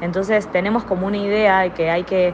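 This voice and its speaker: Over noticeable background noise, a woman speaks in a medium pitch. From Argentina. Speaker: art therapist. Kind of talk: recorded testimony.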